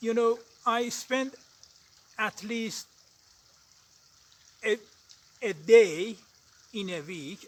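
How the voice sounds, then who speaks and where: With an Azerbaijani accent, a man speaks very slowly in a high voice, with ordinary pitch variation, big swings in loudness and long, frequent pauses. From Iran. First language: Azeri. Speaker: english learner vlogger. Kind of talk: casual vlog monologue. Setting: outdoors on a mountain. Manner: halting, with frequent hesitations.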